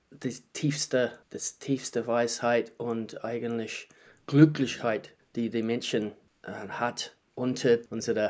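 A man speaks with a New Zealand accent. His delivery is very slow, with monotone, flat intonation. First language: English (speaking German). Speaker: qigong teacher. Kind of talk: casual chat. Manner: halting.

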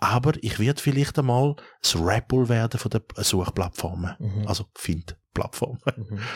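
A man speaks at a moderate pace, his voice somewhat breathy. The sound is dry and close with no echo, on a very clean recording with a silent background. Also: medium pitch for a man, ordinary pitch variation. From Switzerland, Thurgau and Zurich area. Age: 50s. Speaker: restaurateur and app founder. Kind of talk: casual interview.

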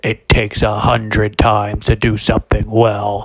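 A man's put-on character voice at a fairly low pitch. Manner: solemn, congratulatory.

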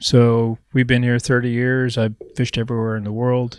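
With an American accent, a man talks at a fairly quick pace in a medium pitch and monotone, flat intonation, in a very clean recording with a silent background and a dry, close sound with no echo. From Missouri, the Ozarks. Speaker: fly shop owner. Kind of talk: casual chat. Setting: fly shop.

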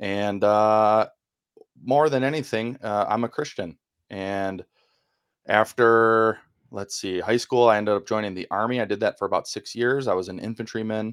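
A fairly low male voice in a Wisconsin accent, with fairly even intonation and a dry, close sound free of echo. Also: moderate pace, very clean recording, silent background. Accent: Midwestern US (Wisconsin). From Milwaukee, Wisconsin, US Midwest. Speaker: former FBI employee turned podcast co-host.

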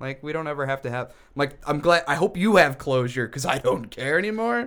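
A plain, everyday voice speaks at a moderate pace with lively intonation. The recording is very clean, with a silent background. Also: man. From US. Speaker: podcast co-host. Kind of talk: casual chat. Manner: sarcastic humor.

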